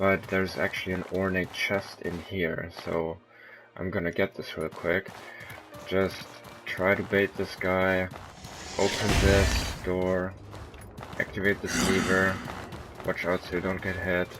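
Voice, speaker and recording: Over music in the background, a man speaks in a very deep, low, monotone voice at a fairly slow pace, with long, frequent pauses. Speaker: gamer. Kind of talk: game walkthrough commentary. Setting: low-quality home microphone. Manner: casual.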